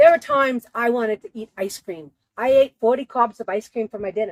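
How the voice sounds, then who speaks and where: An unremarkable speaking voice at a fairly quick pace, with ordinary pitch variation and a dry, close sound with no echo. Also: woman. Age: 60s. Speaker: weight loss story guest. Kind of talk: personal testimony and tips. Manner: casual, conversational.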